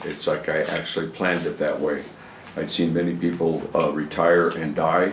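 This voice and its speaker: Over noticeable background noise, a man with a very deep, low voice speaks at a moderate pace in a monotone, flat way. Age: 80s+. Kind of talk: interview answer.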